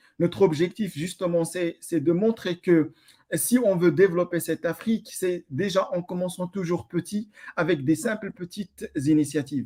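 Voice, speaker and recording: At a moderate pace, a man with a high pitch and a dark, mellow tone speaks with ordinary pitch variation in a dry, close sound with no echo. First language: Amazigh (Tamazight) (speaking French). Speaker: NGO founder and researcher. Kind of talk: online panel interview. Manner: halting, many repetitions.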